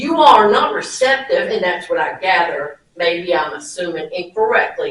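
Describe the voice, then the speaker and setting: A loud, high-pitched woman at a moderate pace, with very wide pitch swings. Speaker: public commenter at county meeting. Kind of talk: public comment at government meeting. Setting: county commissioners meeting. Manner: animated.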